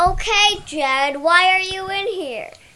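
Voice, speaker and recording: A put-on character voice, shouting at an extremely high pitch and a fairly slow pace. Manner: yelling.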